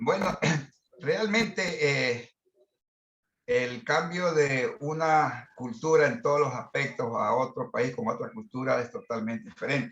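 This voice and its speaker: A man's fairly high voice, fairly slow, with very wide pitch swings. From Ecuador. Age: 60s. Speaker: business management consultant. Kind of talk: participant in online masterclass discussion.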